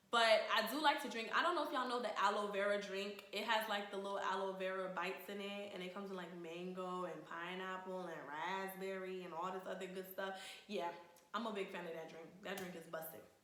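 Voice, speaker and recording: A woman with an American accent speaks at a fairly quick pace, medium in pitch with ordinary pitch variation and big swings in loudness. Audible room echo and noticeable background noise fill the recording. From Sierra Leone and Charlotte, North Carolina. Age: 20s. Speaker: vlogger, Air Force service member. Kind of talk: casual vlog intro. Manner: casual, chatty.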